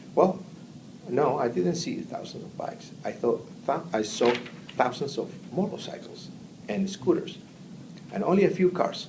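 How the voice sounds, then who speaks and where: A man with a Spanish accent speaks in a high pitch with very wide pitch swings, big swings in loudness and long, frequent pauses. Audible room echo and noticeable background noise fill the recording. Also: moderate pace. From Argentina. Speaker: immigrant interviewee. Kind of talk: interview. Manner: halting.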